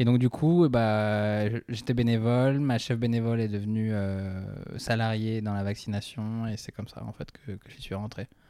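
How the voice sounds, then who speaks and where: Dark and mellow in tone, a man speaks at a medium pitch and fairly slow pace, with fairly even intonation, hardly any pauses and big swings in loudness. The recording is very clean, with a silent background. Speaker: stand-up comedy student. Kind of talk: casual chat. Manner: soft-spoken.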